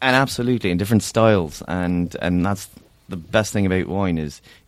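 A man's very deep, low voice with an Irish accent, moderate pace and ordinary pitch variation. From Ireland. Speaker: sommelier and restaurant owner. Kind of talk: casual chat with wine tasting. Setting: studio.

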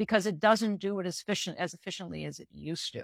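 A woman with an unremarkable speaking voice talks at a fairly quick pace, medium pitch and lively intonation. The very clean recording has a silent background and dry, close sound with no echo. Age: 50s. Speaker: reproductive endocrinologist. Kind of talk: interview.

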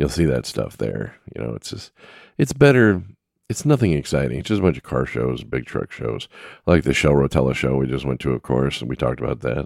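Recorded dry and close with no echo, a man with vocal fry and a very deep, low pitch speaks at a fairly quick pace with ordinary pitch variation. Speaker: solo podcast host covering trucking news. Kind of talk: casual solo monologue. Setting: home recording setup with microphone.

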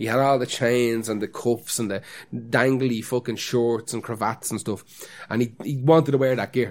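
A man talks in an Irish accent at a medium pitch. His pace is moderate and his intonation fairly even. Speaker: podcast co-host. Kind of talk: casual chat.

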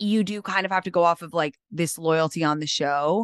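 A woman with an unremarkable speaking voice, medium-pitched and fairly quick, in a dry, close sound with no echo over a quiet background. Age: 30s. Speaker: content creator and author. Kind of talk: casual chat.

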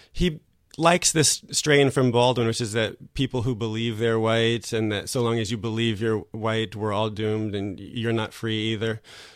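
At a moderate pace, a man with an American accent speaks in an ordinary speaking voice, medium in pitch with fairly even intonation. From US, New Jersey. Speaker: writer. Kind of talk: casual chat.

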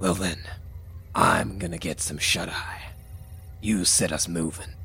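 Putting on a character voice, a man speaks at a very deep, low pitch and fairly slow pace against clear background noise. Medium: actual play. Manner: laconic, drawling, self-assured.

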